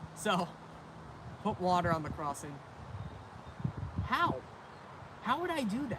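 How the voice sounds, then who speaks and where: A man's high voice at a fairly slow pace, with very wide pitch swings and long, frequent pauses. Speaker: railfan livestreamer. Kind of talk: live stream chat. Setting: outdoors.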